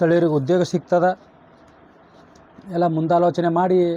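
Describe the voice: A man's high-pitched voice with a dark, mellow tone, little pitch movement and a moderate pace.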